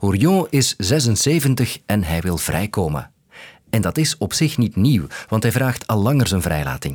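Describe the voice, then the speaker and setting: On a very clean recording with a silent background, a man with a fairly low pitch speaks at a fairly slow pace, his pitch swinging very widely. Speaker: news podcast host. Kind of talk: scripted narration.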